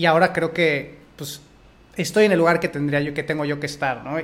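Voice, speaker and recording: A man talks with a Mexican accent. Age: 30s. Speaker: podcast host and fitness coach. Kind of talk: interview conversation. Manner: halting.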